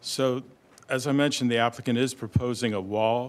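Fairly slow speech from a man with fairly even intonation. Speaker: presenter. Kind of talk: staff presentation. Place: meeting room.

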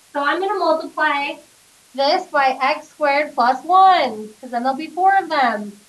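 Over noticeable background noise, a woman's high voice rises and falls with lively intonation. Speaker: math teacher. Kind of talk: classroom lecture. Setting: classroom with students. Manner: conversational, checks in with class.

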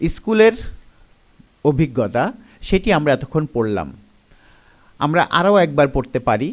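His pitch is fairly high, and this man's voice takes very wide pitch swings. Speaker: teacher. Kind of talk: lecture.

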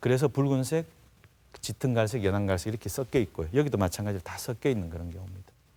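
A man talks very fast in a dark, mellow tone, his loudness swinging widely. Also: fairly low pitch for a man, lively intonation. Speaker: dermatology professor. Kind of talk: medical TV interview explanation.

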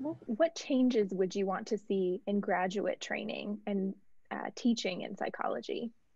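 Speaking at a fairly slow pace, a woman with a medium-pitched, dark and mellow voice shows vocal fry and lively intonation. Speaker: interviewer. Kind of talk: interview.

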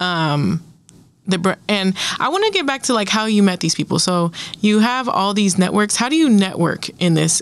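At a moderate pace, a woman of medium pitch speaks with lively intonation and very even loudness in a dry sound with no echo. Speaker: college radio host. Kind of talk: casual interview. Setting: studio. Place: studio. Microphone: studio mic.

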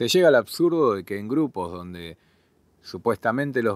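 A man with a Buenos Aires accent, very wide pitch swings and a moderate pace, in a very clean recording with a silent background. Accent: Rioplatense Spanish (Buenos Aires). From Argentina, Buenos Aires southern suburbs. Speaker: journalist and podcast host. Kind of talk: solo podcast commentary.

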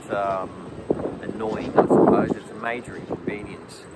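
At a moderate pace, a man speaks against noticeable background noise. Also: dry sound with no echo. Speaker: expat commentator. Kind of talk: casual vlog chat. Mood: concerned but calm. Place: street. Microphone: phone near.

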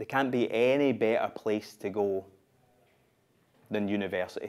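The speaker has a Scottish accent and talks at a moderate pace. Intonation stays fairly even. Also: man, medium pitch for a man. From Glasgow, Scotland. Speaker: spoken word performer. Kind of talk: live theatre monologue, spoken word. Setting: live stage with audience. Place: stage.

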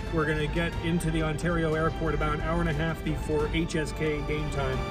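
A man delivers his words fairly quickly while music sounds clearly behind him. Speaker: hockey radio play-by-play announcer. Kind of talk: casual talk to camera, travel diary. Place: car. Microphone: phone near.

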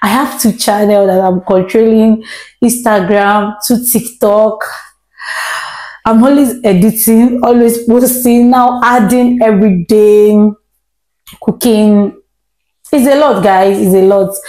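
A woman's voice with fairly even intonation and very even loudness, audible room echo, and a quiet background. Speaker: home cooking vlogger. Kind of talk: casual vlog chat. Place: kitchen. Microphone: lapel.

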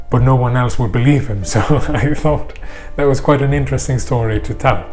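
Faint music plays in the background as the voice moves with ordinary pitch variation. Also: man. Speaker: food vlogger. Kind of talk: casual vlog chat. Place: home room. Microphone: lapel.

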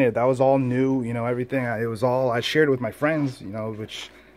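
His delivery is very fast. The voice belongs to a man. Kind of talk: casual vlog chat. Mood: reflective, proud. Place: home room. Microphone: phone near.

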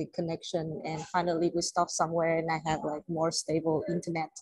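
A woman with a fairly low pitch speaks in a monotone, flat intonation, the sound dry with no echo against a quiet background. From Vietnam. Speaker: journalist. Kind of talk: panel discussion. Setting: video call from a moving shuttle bus. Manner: halting.

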